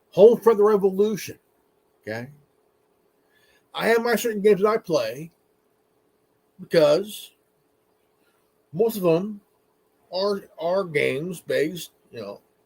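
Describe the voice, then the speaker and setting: This man speaks fairly slowly at a high pitch, with ordinary pitch variation. Long, frequent pauses break up his speech, and his loudness swings widely. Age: 40s. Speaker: gaming streamer and commentator. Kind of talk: rant. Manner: animated; halting.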